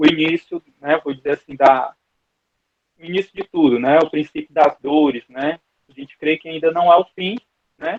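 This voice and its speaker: The man's voice sits fairly high in pitch. He talks at a fairly slow pace with fairly even intonation. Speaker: Bible school teacher. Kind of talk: online Bible class lecture. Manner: hesitant, repeats words.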